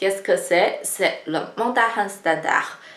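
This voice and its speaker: A woman with a Chinese accent, amid noticeable background noise and audible room echo. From China. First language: Chinese (speaking French). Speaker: Chinese language teacher. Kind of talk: tutorial.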